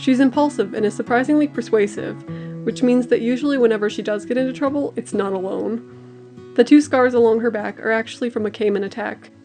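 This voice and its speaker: A woman mumbles at a fairly quick pace in a fairly high voice with lively intonation, music playing in the background. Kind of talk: casual voiceover commentary while drawing. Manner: mumbly.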